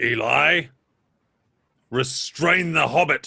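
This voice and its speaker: A man's put-on character voice, growling and raspy, at a fairly high pitch. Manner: growling, commanding.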